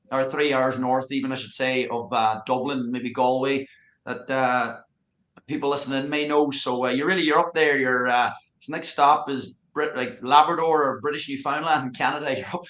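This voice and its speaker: A man speaks with a Donegal Irish accent at a moderate pace. His medium-pitched voice keeps fairly even intonation. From Ireland, County Donegal. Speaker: youth soccer coach. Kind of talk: casual interview.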